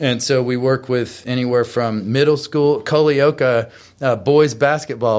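On a very clean recording with a silent background, a man with an American accent speaks at a medium pitch in an ordinary speaking voice. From Texas. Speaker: retired Marine and motivational speaker. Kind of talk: interview.

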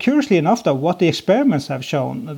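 Over a very clean recording with a silent background, a man with vocal fry talks at a very fast pace with ordinary pitch variation. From Norway. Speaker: software consultant. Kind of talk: interview.

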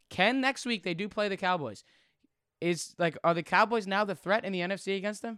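A raised, projected voice with a bright, sharp tone and ordinary pitch variation moves at a fairly quick pace, recorded very cleanly in a dry, close sound with no echo and a silent background. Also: man, high pitch for a man. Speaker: sports podcast host. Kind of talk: casual sports chat. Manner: energetic.

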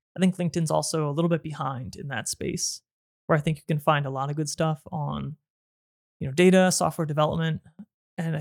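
Very fast male speech, fairly even in intonation, with a dry, close sound and no echo. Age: 30s. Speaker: YouTube creator and podcast host. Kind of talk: solo podcast monologue. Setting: filming on camera at home. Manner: casual, with frequent fillers.

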